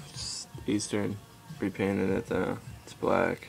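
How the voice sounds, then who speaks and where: A man's voice with music in the background. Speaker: BMX rider. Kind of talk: casual talk to camera.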